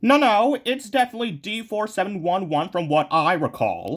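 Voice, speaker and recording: A man uses a put-on character voice pitched high. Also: moderate pace. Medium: machinima. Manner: sarcastic, blunt.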